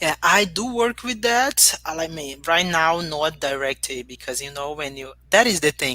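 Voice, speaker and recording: A woman with a Portuguese accent, a very deep, low pitch and lively intonation at a moderate pace. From Brazil, Rio de Janeiro. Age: young. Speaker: human rights advocate. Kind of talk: interview. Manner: halting.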